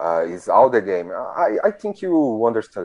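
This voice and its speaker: Speaking at a fairly slow pace with very wide pitch swings, a man with a Brazilian accent is heard against a quiet background. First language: Portuguese. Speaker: hockey fan community organizer. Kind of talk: interview. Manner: halting.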